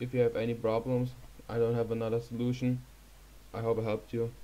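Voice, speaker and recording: A dark, mellow voice with a German accent at a moderate pace. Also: man. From Germany. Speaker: YouTuber. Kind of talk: tutorial. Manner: hesitant, many fillers.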